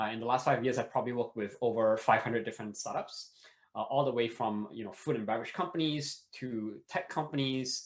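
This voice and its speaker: A man is talking. His voice lands at a medium pitch. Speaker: startup and sales consultant. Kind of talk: workshop presentation. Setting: online video session. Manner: fast.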